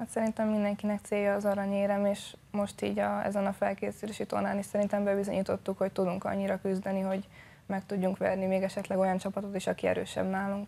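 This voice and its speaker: Her dark, mellow voice sits at medium pitch with monotone, flat intonation. The woman talks at a very fast pace with hardly any pauses. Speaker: ice hockey player. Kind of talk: TV studio interview. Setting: studio. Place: studio. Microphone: lapel.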